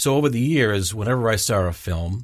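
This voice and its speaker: A somewhat breathy man with an American accent and lively intonation, on a very clean recording with a silent background. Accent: slight Boston accent, mostly suppressed. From Massachusetts, Boston South Shore. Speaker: aspiring actor. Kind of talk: interview.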